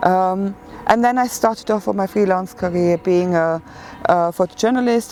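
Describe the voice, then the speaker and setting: With a German accent, a woman speaks fairly quickly in a fairly low voice with ordinary pitch variation, and noticeable background noise is present. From Germany. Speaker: photographer. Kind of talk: interview. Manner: hesitant, many fillers.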